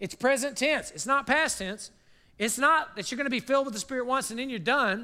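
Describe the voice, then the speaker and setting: A man's raised, projected voice, extremely high in pitch, bright and sharp, with ordinary pitch variation. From South Carolina. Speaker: university president and guest preacher. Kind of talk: sermon. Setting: church service with congregation.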